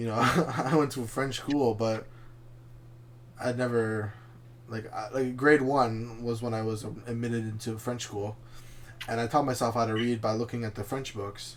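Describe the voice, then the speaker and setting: A man's medium-pitched, monotone voice with flat intonation, a moderate pace, long and frequent pauses, and audible room echo. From Canada, Chilean family. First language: Spanish. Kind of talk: casual chat.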